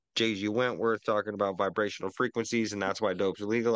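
A man talks at a fairly quick pace in an ordinary speaking voice, fairly low in pitch and with fairly even intonation. The sound is dry and close with no echo, over a quiet background. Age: 20s. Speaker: podcast co-host. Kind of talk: casual chat. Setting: video call.

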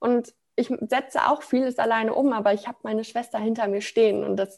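A woman in a plain, everyday voice, fairly high in pitch, at a moderate pace with fairly even intonation. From Ruhr area, Germany (Sprockhövel near Bochum). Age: 20s. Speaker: branding consultant, self-employed. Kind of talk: personal testimony in interview.

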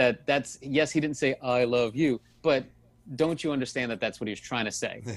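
An ordinary speaking voice from a man with an American accent, medium pitch, fairly even intonation and a moderate pace. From US South, New Orleans. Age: 40s. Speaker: psychologist. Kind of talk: interview.

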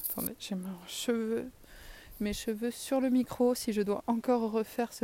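Her voice has a dark, mellow tone, and the woman speaks with monotone, flat intonation. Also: very clean recording, silent background. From southern France. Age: 30s. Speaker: podcaster, teacher of deaf children. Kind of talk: casual monologue. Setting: outdoors, in a tree.

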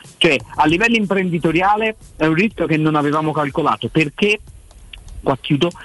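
Amid noticeable background noise, a man with a fairly high pitch talks at a fairly quick pace with lively intonation, and the sound is dry and close with no echo. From Florence. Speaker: sports journalist. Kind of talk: casual chat.

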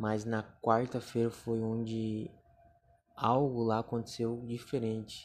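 A man talks at a very slow pace. His intonation stays monotone and flat. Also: medium pitch for a man. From Brazil, Joinville, Santa Catarina. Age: 20s. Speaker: podcaster. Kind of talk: testimony.

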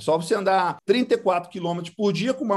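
A high-pitched man's voice at a moderate pace, with ordinary pitch variation. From Brazil, Goiás. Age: 40s. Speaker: agribusiness entrepreneur. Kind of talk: interview.

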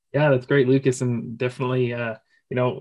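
This is a man with a normal speaking voice, pitched in the medium range. His intonation stays fairly even. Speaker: podcast host. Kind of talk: podcast interview, conversational.

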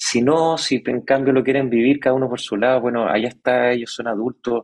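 Speaking at a fairly quick pace with fairly even intonation, a man at medium pitch uses a plain, everyday voice. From Chile. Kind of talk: interview.

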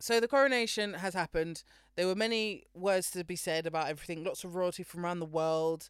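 Speaking at a fairly quick pace with a British accent, a woman uses a fairly low pitch and ordinary pitch variation on a very clean recording with a silent background. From Britain. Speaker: podcast co-host. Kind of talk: casual chat.

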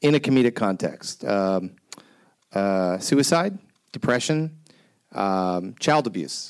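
A man lets his voice rise and fall very widely while talking fairly slowly. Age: 40s. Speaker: TV creator and storytelling show producer. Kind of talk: panel discussion.

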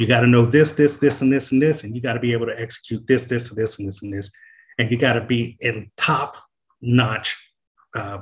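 A man with an American accent sounds somewhat breathy, his intonation fairly even. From Oceanside, California. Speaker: nonprofit executive. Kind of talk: casual chat.

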